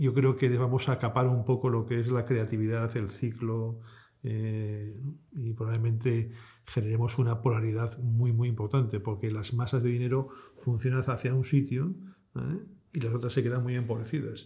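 Somewhat breathy, a man speaks at a medium pitch in a dark, mellow tone with fairly even intonation. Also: moderate pace. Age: 50s. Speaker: fund manager. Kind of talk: interview.

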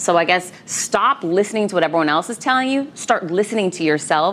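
A woman talks at a fairly quick pace with lively intonation. Noticeable background noise is present. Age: 40s. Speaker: author and keynote speaker. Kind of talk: interview.

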